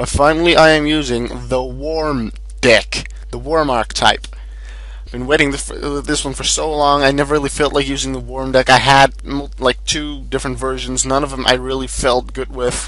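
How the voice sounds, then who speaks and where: Male speech at a medium tempo, with noticeable noise in the background. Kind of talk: gaming commentary, deck profile. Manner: loud at points.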